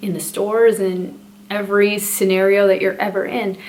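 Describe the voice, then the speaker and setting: In a Spanish accent, a woman speaks with a medium pitch and monotone, flat intonation. Audible room echo and noticeable background noise fill the recording. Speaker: parenting vlogger. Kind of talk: casual vlog talk to camera.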